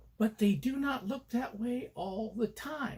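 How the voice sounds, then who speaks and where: A man's voice with lively intonation. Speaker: columnist and motivational coach. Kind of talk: narration of own column, conversational. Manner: conversational, passionate.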